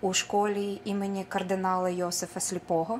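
Light background noise sits under a woman talking at a moderate pace. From Ukraine, Petrykivka (Dnipropetrovsk region); Ukraine. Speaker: folk artist. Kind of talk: speech at school art show; on-camera self-introduction. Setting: school event, on camera. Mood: warm, formal. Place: hall. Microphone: camera far.

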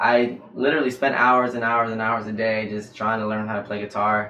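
In an American accent, a man talks at a fairly quick pace and medium pitch, his intonation monotone and flat, with audible room echo. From North Carolina. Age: 20s. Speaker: doctoral student and guitarist; guest. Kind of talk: casual interview. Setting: livestream. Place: studio.

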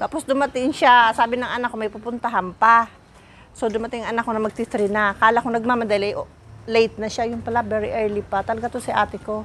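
Very fast speech over light background noise. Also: woman, fairly high pitch for a woman. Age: 50s. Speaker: family vlogger. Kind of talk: casual vlog narration. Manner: animated. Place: street. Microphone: lapel.

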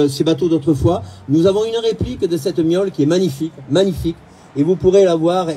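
A man speaks at a high pitch, his voice showing ordinary pitch variation. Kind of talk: public speech. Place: waterside. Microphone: camera far.

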